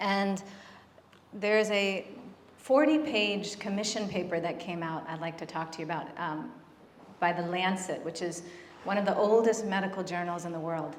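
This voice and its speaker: A soft-spoken woman at a medium pitch and moderate pace, with ordinary pitch variation, long, frequent pauses, audible room echo and noticeable background noise. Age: 40s. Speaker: physician and end-of-life doula. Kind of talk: conference talk. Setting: stage with audience.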